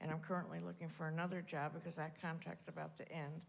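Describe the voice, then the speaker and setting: With an American accent, a woman speaks at a very fast pace in a room with audible echo. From US Northeast. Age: 80s+. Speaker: church visitor. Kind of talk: self-introduction. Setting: church service. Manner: halting.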